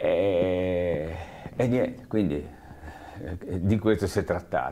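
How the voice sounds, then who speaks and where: A man's very deep, low voice with a dark, mellow tone, ordinary pitch variation, very slow pace, long, frequent pauses and light background noise. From Liguria. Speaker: eyewitness interviewee, former municipal employee; witness. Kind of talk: oral history interview. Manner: halting, many fillers and repetitions. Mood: reflective, calm. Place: studio. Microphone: lapel.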